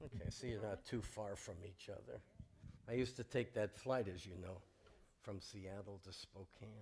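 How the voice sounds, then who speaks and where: Somewhat breathy, a man speaks in a fairly low-pitched voice. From US West Coast, Los Angeles. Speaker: rabbi leading a service. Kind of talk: warm informal welcome during a worship service. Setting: synagogue sanctuary with congregation, livestreamed.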